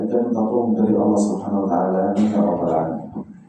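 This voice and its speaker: A man's voice with audible room echo and music in the background. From Palestine. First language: Arabic (speaking Indonesian). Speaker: Islamic preacher. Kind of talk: sermon. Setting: mosque. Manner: halting.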